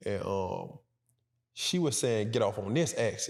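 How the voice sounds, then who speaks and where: At a moderate pace, a man talks with a medium pitch and ordinary pitch variation. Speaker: podcast co-host. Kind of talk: casual chat. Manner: even pitch, rarely raises voice.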